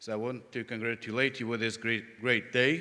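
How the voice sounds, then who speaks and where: On a very clean recording with a silent background, a man with a Russian accent speaks at a moderate pace and medium pitch in a bright, sharp tone. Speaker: conference speaker. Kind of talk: conference presentation.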